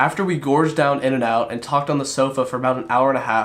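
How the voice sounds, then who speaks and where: In a very clean recording with a silent background, a man talks at a fairly quick pace in a plain, everyday voice, fairly high in pitch with ordinary pitch variation. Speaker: vlogger. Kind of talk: personal vlog narration.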